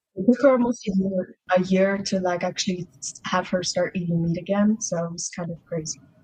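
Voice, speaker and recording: Speaking with an American accent, a woman with a medium pitch and a dark, mellow, somewhat breathy tone moves at a fairly quick pace with fairly even intonation and hardly any pauses. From Russia, adopted to US as young child. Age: 20s. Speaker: adoptee sharing her story. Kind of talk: podcast interview. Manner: casual, lots of filler words.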